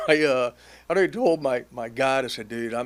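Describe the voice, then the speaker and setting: A man with an American accent has an ordinary speaking voice. He talks at a fairly quick pace with lively intonation. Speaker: hunter and wealth planner. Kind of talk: casual interview chat.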